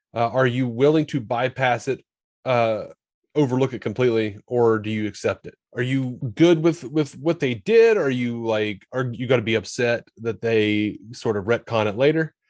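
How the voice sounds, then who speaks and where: A man speaks at a moderate pace in a plain, everyday voice, medium in pitch, with ordinary pitch variation. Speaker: podcast host. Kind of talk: casual podcast conversation.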